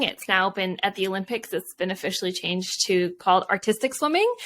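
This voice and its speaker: At a moderate pace, a woman talks in a Canadian accent with ordinary pitch variation. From Canada, Vancouver. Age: 40s. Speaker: Olympic athlete and author. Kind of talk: interview.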